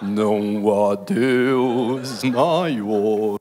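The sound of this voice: This is a put-on character voice. It carries a solemn, dramatic tone. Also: man, medium pitch for a man.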